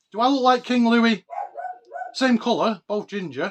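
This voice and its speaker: With a northern English accent, a man talks at a moderate pace in a high pitch. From northern England, Oldham, Greater Manchester. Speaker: collectibles YouTuber. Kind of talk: casual show-and-tell vlog. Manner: animated.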